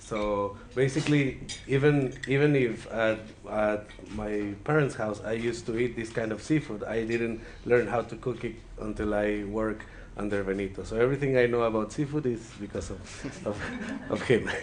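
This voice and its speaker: A man speaks at a moderate pace in a medium pitch, his intonation fairly even. There is audible echo from the room. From Mexico, Ensenada, Baja California. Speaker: chef. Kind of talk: cooking presentation. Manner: halting, many repetitions.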